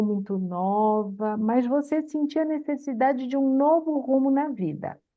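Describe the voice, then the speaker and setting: A woman speaks very slowly in a high pitch, her intonation lively. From Santos, Brazil. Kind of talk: conversational interview.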